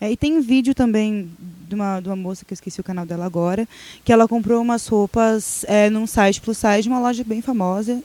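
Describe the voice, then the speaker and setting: This woman has a normal speaking voice, fairly high in pitch with ordinary pitch variation. She keeps a moderate pace on a very clean recording with a silent background. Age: 20s. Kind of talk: casual chat.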